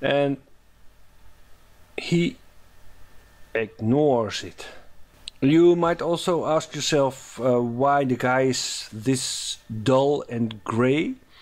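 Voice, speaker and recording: Very slowly and with long, frequent pauses, a man speaks in a Dutch accent with ordinary pitch variation. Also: medium pitch for a man. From Netherlands. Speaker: animation tutorial maker. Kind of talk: tutorial. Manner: halting, many fillers.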